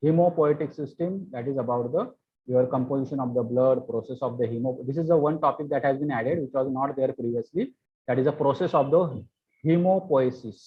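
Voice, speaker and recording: This man talks at a fairly high pitch and a fairly quick pace, with ordinary pitch variation. His voice is somewhat breathy. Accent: Indian. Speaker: pharmacy lecturer. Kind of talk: lecture.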